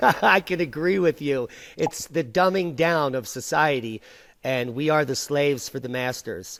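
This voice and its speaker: A man with an American accent and a normal speaking voice talks fairly slowly in a fairly high voice with ordinary pitch variation. The recording is very clean with a silent background. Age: 40s. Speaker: video blog host. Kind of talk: interview.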